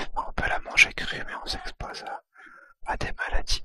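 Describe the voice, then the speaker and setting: Whispering in a relaxed tone, the voice keeps a fairly slow pace. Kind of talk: ASMR gameplay commentary, whispered. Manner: whispered, soft, relaxed.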